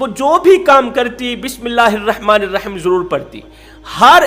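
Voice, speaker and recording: A man's extremely high voice with very wide pitch swings, music playing in the background. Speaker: Islamic preacher. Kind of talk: Islamic sermon (bayan) telling a moral story.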